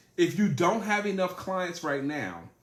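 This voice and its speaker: Audible room echo carries a man's animated tone and lively intonation. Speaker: sales trainer. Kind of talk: live-streamed training talk.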